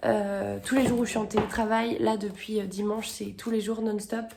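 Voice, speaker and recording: Audible room echo mixed with noticeable background noise. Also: woman. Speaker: book vlogger. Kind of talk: casual vlog. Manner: hesitant, many fillers.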